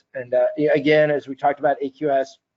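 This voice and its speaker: Very fast in pace, a man speaks with fairly even intonation. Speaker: data systems presenter. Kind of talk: webinar tutorial. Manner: hesitant, many fillers.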